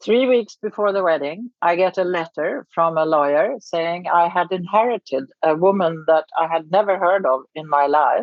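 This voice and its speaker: A woman with a Swedish accent and a fairly low pitch talks at a moderate pace with ordinary pitch variation and hardly any pauses. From Sweden. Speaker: charity founder and writer. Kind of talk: podcast interview. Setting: remote recording.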